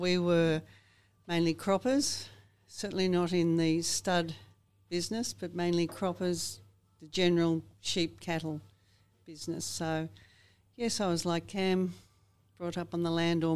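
A woman's fairly low voice in an Australian accent, fairly slow with long, frequent pauses and ordinary pitch variation, on a very clean recording with a silent background. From Australia, north-west Victoria. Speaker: farmer. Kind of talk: interview.

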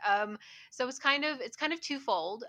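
Lively intonation in a West Virginia accent. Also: woman. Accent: West Virginian Appalachian. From West Virginia, US. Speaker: cosplayer. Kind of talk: casual interview.

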